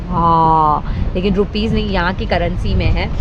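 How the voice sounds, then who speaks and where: A woman is speaking amid noticeable background noise. Audible room echo also colors the recording. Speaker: travel vlogger. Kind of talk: travel vlog. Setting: outdoors, walking in streets.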